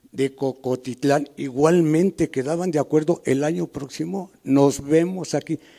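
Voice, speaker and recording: This man has a dark, mellow tone. His pitch is fairly high. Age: 70s. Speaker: elder community member. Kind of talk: panel talk, personal recollection. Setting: public panel with audience.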